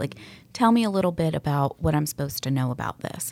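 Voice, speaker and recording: A woman with an American accent and a very deep, low pitch speaks at a fairly quick pace with lively intonation, on a very clean recording with a silent background. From US South, Atlanta area (Sandy Springs). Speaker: real estate agent. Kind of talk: interview. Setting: studio.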